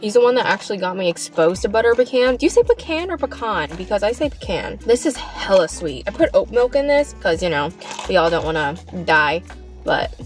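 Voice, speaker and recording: A woman speaks at a fairly quick pace, and faint music plays in the background. The sound is dry, with no echo. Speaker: vlogger. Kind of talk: casual vlog chat, food review. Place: car. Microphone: phone near.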